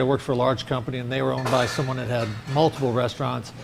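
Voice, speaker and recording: Noticeable background noise runs under speech delivered in fairly even intonation. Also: man. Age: 60s. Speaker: restaurant owner. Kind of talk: interview. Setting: restaurant.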